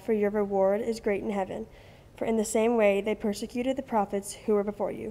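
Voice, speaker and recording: Her dark, mellow tone stays monotone and flat as the woman speaks at a fairly quick pace. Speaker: student scripture reader. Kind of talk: scripture reading. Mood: calm, solemn. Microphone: podium.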